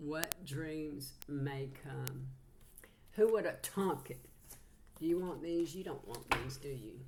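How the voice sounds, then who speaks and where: In a very deep, low voice with a Southern US accent, a woman speaks at a very slow pace with long, frequent pauses, ordinary pitch variation, and big swings in loudness, while audible room echo surrounds her. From Georgia, US South. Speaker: psychic channeler, tarot reader. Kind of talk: casual spiritual channeling livestream talk.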